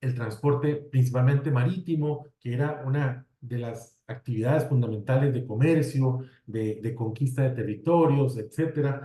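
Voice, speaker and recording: A man with a fairly high, somewhat breathy voice and a dark, mellow tone speaks at a fairly slow pace. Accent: Costa Rican. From Costa Rica. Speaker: civil engineer, road safety specialist. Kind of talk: webinar presentation. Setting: online webinar. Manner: conversational, with fillers.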